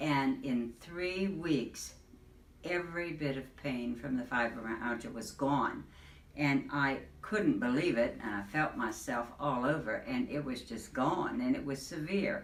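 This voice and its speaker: There is audible room echo and noticeable background noise as a woman speaks with lively intonation. Her pitch is very deep and low, and her pace is fairly slow. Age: 70s. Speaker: patient giving testimonial. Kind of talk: testimony.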